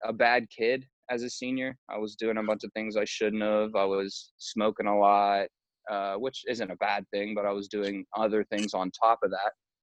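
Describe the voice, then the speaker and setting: A man speaks at a fairly slow pace in a fairly low pitch. His intonation is monotone and flat. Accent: American. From western Pennsylvania, Pittsburgh area. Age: 20s. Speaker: music industry manager. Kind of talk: casual interview. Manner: casual, filler-heavy.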